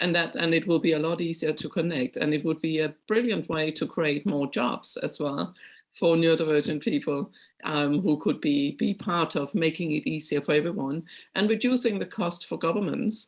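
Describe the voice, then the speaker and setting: A woman's fairly low voice in a Danish accent. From Denmark. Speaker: conference chair. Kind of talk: moderating Q&A.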